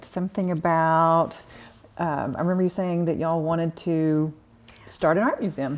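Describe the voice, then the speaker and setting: A woman with a normal speaking voice and fairly low pitch talks at a moderate pace, her intonation fairly even and her loudness very even, against a quiet background. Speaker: museum director and curator. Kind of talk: interview questions.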